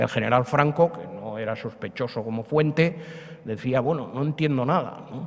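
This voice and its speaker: This man talks at a fairly slow pace, his pitch swinging very widely. Noticeable background noise runs underneath. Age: 70s. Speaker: historian. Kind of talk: public lecture. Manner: conversational, many fillers.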